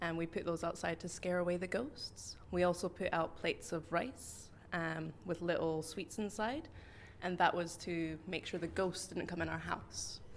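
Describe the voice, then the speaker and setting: At a fairly slow pace, a woman talks in an ordinary speaking voice, fairly low in pitch with fairly even intonation. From Scotland. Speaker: English teacher. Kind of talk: interview.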